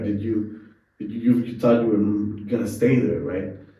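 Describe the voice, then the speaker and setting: Using an unremarkable speaking voice, a man delivers his words at a moderate pace and a medium pitch. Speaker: podcast host. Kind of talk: interview conversation.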